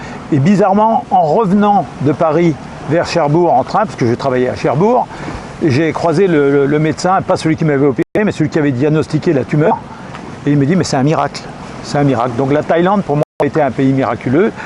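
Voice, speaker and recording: Noticeable background noise sits behind a man speaking fairly quickly at a fairly high pitch. His loudness holds very even, and his pitch varies in an ordinary way. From France, Brittany (Finistère, Plogoff). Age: 60s. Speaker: retired expat. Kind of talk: interview.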